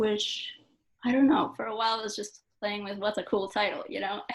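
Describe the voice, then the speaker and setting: A soft-spoken woman's voice at medium pitch. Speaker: poet. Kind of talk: interview at book launch. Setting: event with live audience.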